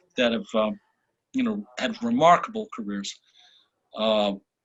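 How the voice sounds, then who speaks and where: A man at a fairly slow pace. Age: 60s. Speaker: musician. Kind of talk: casual chat. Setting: hotel room in quarantine. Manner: halting.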